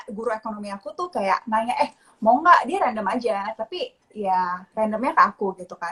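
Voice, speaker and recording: Her intonation is lively. The voice belongs to a woman. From Indonesia, Pontianak, West Kalimantan. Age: 20s. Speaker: investor. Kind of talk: interview. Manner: casual, mixes English.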